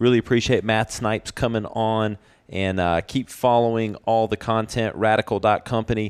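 A man talks at a medium pitch and moderate pace in an unremarkable speaking voice. The sound is dry and close, with no echo. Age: 40s. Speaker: podcast host. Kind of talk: casual interview.

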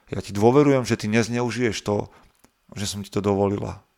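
A man talks at a moderate pace in a fairly low pitch, his intonation fairly even. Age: 30s. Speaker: fitness coach and podcaster. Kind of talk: casual interview. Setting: remote call.

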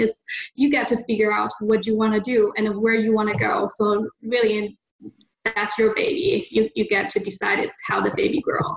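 Fairly high-pitched, somewhat breathy woman's voice at a moderate pace. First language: Mandarin Chinese. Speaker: land investor. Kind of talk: interview. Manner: halting.

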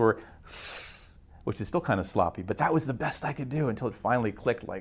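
A man with an American accent, at a medium pitch with ordinary variation. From western Pennsylvania (Beaver County). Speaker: baseball public address announcer. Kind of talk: storytelling interview.

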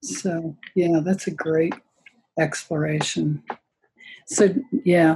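A woman with a fairly low pitch and a dark, mellow, somewhat breathy tone speaks at a very slow pace, with fairly even intonation and long, frequent pauses. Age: 70s. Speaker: yoga teacher. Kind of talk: casual interview chat. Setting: video call.

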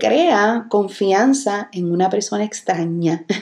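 A woman talks at a very slow pace with noticeable background noise around her. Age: 30s. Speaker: podcast host and business coach. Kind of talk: solo podcast business tutorial. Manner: animated.

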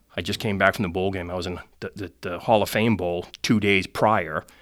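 In a normal speaking voice, a man with fairly low pitch talks at a fairly quick pace with fairly even intonation on a very clean recording with a silent background. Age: 50s. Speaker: sales executive. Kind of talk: interview.

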